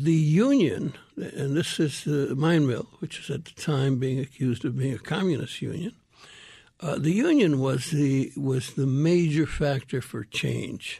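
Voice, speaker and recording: A man with an American accent speaks at a fairly slow pace in a fairly high, somewhat breathy voice with a dark, mellow tone and ordinary pitch variation, against a quiet background. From Miami, Arizona (with stints in Mexico). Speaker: retired politician and activist. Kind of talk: radio interview. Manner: halting, many repetitions.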